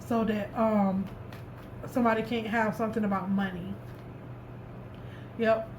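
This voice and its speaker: Speaking at a moderate pace with a fairly high pitch, a woman keeps a monotone, flat intonation. She takes long, frequent pauses, and there is audible room echo. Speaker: tarot reader. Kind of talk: tarot reading. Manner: stuttering, repetitive.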